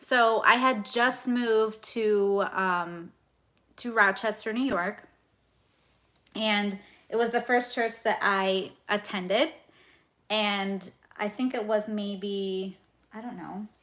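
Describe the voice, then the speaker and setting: A loud woman's voice, fairly high in pitch and bright, sharp in tone, at a very slow pace with long, frequent pauses and fairly even intonation, on a very clean recording with a silent background. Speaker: budgeting youtuber. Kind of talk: casual chat. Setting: livestream.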